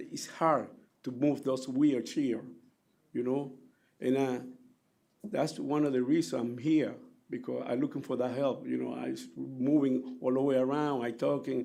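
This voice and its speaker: The man's medium-pitched voice has a dark, mellow tone and fairly even intonation. He speaks at a moderate pace with audible room echo. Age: 60s. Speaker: taxi driver giving public testimony. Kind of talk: public hearing testimony. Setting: public hearing room. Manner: halting.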